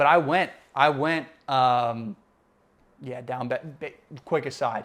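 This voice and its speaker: A man at a very slow pace, medium in pitch, with big swings in loudness. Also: ordinary pitch variation. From Puerto Rican, raised mainly in the US. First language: Spanish. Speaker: podcast co-host. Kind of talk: casual chat.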